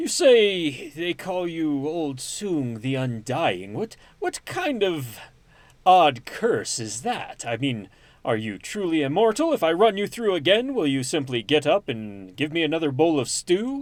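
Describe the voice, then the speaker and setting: Using a put-on character voice, a man talks at a fairly slow pace and a fairly high pitch. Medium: actual play.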